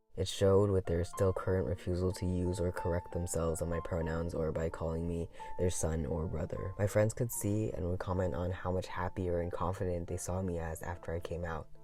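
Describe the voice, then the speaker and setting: Over background music, a man with a very deep, low voice talks in a serious tone at a fairly quick pace, with hardly any pauses and fairly even intonation. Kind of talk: personal narration. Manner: earnest, serious.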